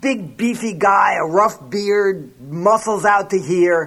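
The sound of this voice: A reading voice that is unforced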